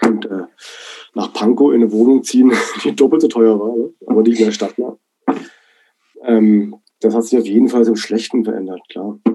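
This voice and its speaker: A man's medium-pitched voice with a dark, mellow tone, at a moderate pace with ordinary pitch variation and long, frequent pauses. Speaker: DJ and producer. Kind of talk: interview. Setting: video call. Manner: hesitant, many fillers.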